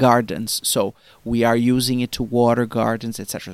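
A man speaks with a Portuguese accent. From Brazil. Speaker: marketing executive. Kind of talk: interview. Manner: halting, many fillers.

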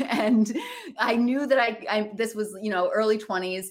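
A woman speaks in an unremarkable speaking voice. Her pitch is fairly high, with ordinary pitch variation. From Michigan, US Midwest. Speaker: comedian and actor. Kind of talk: casual interview.

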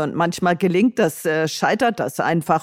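A woman talks at a fairly low pitch. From northern Hesse, Germany. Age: 60s. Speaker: retired social worker and traveller. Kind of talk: interview. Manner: hesitant with many fillers.

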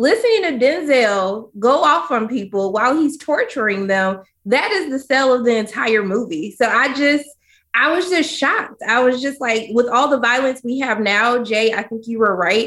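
Speaking at a moderate pace with an American accent, a woman uses a high pitch and lively intonation. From US South, Georgia. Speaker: film critic. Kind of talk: casual chat. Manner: animated.

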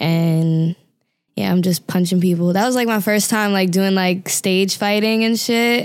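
In an American accent, a woman with an ordinary speaking voice talks at a fairly slow pace and medium pitch, with fairly even intonation and very even loudness. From New York, Staten Island. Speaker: singer and rapper. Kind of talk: interview.

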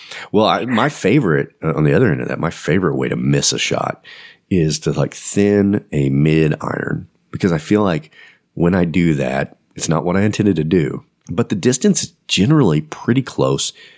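With lively intonation and vocal fry, a man speaks in a very deep, low voice at a moderate pace. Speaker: podcast host and interviewer. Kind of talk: casual chat and on-site interviews.

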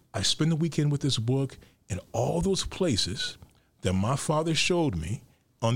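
Here a man with an American accent speaks at a fairly high pitch. His voice is somewhat breathy, and his intonation is lively. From Chicago South Side. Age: 50s. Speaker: architecture critic and author. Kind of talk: interview.

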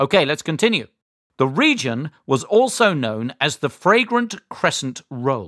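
A man with a British accent talks at a fairly slow pace, his fairly high voice making very wide pitch swings. The sound is dry and close with no echo, on a very clean recording with a silent background. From Great Britain. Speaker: quiz show host. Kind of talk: kids quiz show hosting, friendly and encouraging. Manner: warm, enthusiastic, clear.

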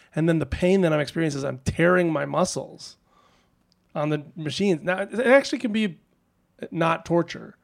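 A man talks with ordinary pitch variation at a moderate pace. The recording is very clean and the background silent. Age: 30s. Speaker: musician. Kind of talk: casual chat. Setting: retreat.

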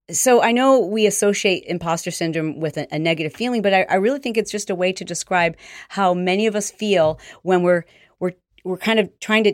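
A woman with an unremarkable speaking voice talks at a medium pitch and a moderate pace, with ordinary pitch variation. The recording is very clean with a silent background, the sound dry and close with no echo. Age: 50s. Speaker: fitness entrepreneur and motivational speaker. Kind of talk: interview.

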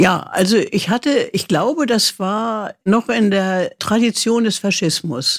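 At a very slow pace, the voice comes through dry and close with no echo, on a very clean recording with a silent background. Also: woman, fairly high pitch for a woman, lively intonation. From East Germany. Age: 80s+. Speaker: writer. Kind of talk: interview. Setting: conservatory at home.

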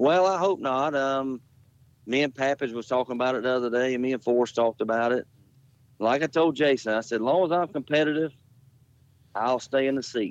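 In a dry, close sound with no echo, a man speaks fairly quickly with ordinary pitch variation and long, frequent pauses. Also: medium pitch for a man. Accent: Southern US. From Jacksonville, Florida. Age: 50s. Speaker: dirt late model race car driver. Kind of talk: interview. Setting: phone call.

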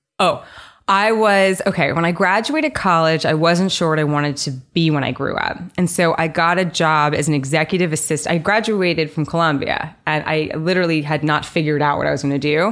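Using an ordinary speaking voice, a woman talks at a fairly quick pace and a fairly low pitch, with ordinary pitch variation and very even loudness. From New York City. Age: 20s. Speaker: venture fund co-founder. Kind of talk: casual interview.

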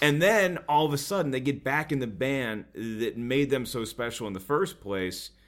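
A man with a plain, everyday voice and an American accent speaks at a moderate pace with a fairly high pitch. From US South. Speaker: comedian. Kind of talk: casual chat.

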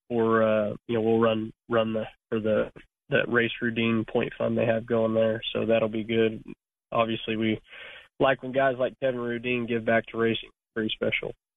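A man delivers his words in a medium-pitched, flat monotone at a moderate pace. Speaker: sprint car racing driver. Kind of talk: interview. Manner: halting.

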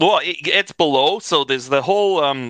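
This voice has a bright, sharp tone and lively intonation, with a Canadian accent and a dry, close sound with no echo. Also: man. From Canada. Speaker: sports fan podcast guest. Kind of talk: casual chat.

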